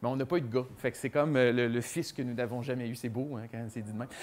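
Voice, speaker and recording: This is a man speaking with a Quebec accent. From Quebec, Montreal area. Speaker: children's author and magician. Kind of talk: presentation to a young audience; animated talk to children. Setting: book fair stage with audience. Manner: casual, filler-heavy. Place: classroom. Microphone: lapel.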